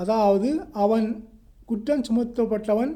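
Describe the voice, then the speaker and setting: This man talks with a Sri Lankan accent and a high pitch. His tone is dark and mellow, and his pitch varies in an ordinary way. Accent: Sri Lankan Tamil. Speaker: solicitor and law lecturer. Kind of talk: educational law lecture.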